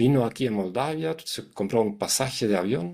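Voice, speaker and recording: With a German accent, a man speaks at a fairly slow pace in a medium pitch, the sound dry and close with no echo. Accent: foreign (German) accent in Spanish. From Germany, Hamburg. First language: German (speaking Spanish). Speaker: psychologist, communication consultant. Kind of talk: interview. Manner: halting, many restarts.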